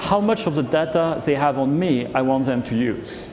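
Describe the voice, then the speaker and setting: Over noticeable background noise and audible room echo, a man with a French accent talks at a fairly high pitch with very wide pitch swings. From France. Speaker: HR executive. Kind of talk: fireside chat on stage.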